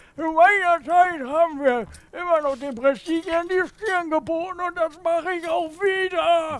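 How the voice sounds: This is a put-on character voice. The pitch sits extremely high. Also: moderate pace.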